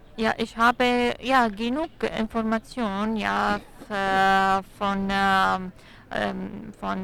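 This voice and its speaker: A woman speaks at medium pitch with a non-native accent. The recording is very clean, with a silent background. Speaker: pharmacist. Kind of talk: interview. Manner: halting.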